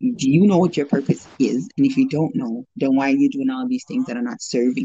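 A woman at a fairly quick pace, with big swings in loudness. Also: hardly any pauses. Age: 40s. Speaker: registered nurse. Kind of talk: casual chat.

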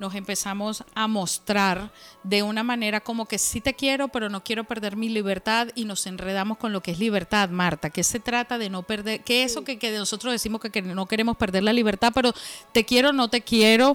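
A woman with a plain, everyday voice speaks at a fairly quick pace and a fairly high pitch, her intonation fairly even and the sound dry and close with no echo. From Venezuela, Valencia. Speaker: podcast co-host and tarot reader. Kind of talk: casual chat.

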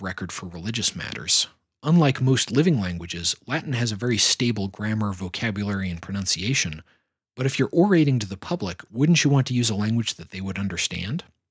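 Very fast, somewhat breathy speech with lively intonation. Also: man. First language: not Finnish (speaks English natively). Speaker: podcast host, Satanist philosopher and religion critic. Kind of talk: scripted narration.

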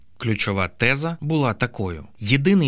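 A man's unremarkable speaking voice, medium in pitch and fairly slow, with lively intonation, on a very clean recording with a silent background. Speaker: audiobook narrator. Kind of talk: literary audiobook reading, narrating a true story from a book. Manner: measured, even narration.

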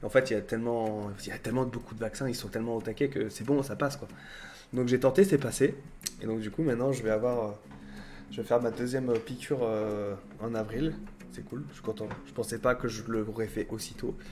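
The voice has a dark, mellow tone and moves at a fairly quick pace. Its loudness swings widely. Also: man, medium pitch for a man, ordinary pitch variation. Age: 30s. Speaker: YouTuber and streamer. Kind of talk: casual livestream chat. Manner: hesitant with many fillers.

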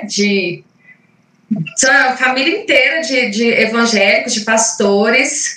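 A woman with a fairly high pitch talks using ordinary pitch variation. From Minas Gerais, Brazil (Caratinga). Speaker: invited speaker on spirituality. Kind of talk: talk in online group meeting. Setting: video call livestream. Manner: halting, many fillers.

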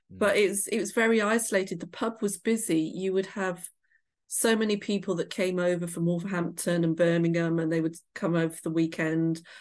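A woman with a West Midlands accent, fairly low in pitch, at a moderate pace with fairly even intonation over a quiet background. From England, Shropshire. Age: middle-aged. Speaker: author. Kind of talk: interview.

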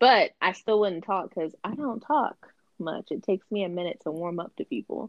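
A normal speaking voice with lively intonation proceeds at a moderate pace. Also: woman, medium pitch for a woman. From US, military family, raised in several states. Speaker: guest. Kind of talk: casual chat.

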